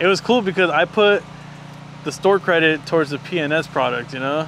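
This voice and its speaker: Delivered at a moderate pace with ordinary pitch variation, the voice sounds dry with no echo over light background noise. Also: man. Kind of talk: interview answer. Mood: relaxed, friendly. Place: street. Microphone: lapel.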